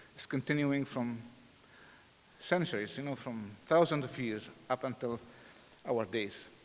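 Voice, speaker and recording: This man has an Arabic accent. He talks at a moderate pace. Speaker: pastor and seminary president. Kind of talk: sermon.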